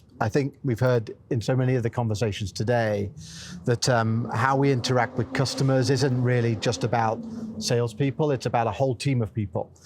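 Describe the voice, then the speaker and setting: Against noticeable background noise, a man speaks at a medium pitch and a fairly quick pace. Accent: British. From England. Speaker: sales enablement executive. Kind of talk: fireside chat interview.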